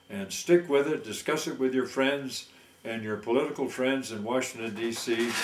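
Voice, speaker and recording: There is noticeable background noise behind this recording. A man speaks at a medium pitch. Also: ordinary pitch variation, moderate pace. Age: 80s+. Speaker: war veteran. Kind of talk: satirical monologue.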